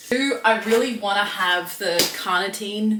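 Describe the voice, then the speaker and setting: A woman at a very slow pace amid noticeable background noise. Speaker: fitness vlogger. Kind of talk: casual vlog talk to camera. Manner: soft-spoken, quiet early-morning talk; speeding up from caffeine.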